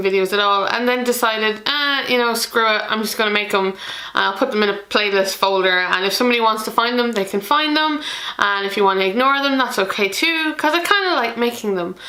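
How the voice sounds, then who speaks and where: A woman with an Irish accent talks at a very fast pace and a fairly high pitch, with ordinary pitch variation, over noticeable background noise. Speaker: board game youtuber. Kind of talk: casual vlog talk to camera. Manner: hesitant, many fillers.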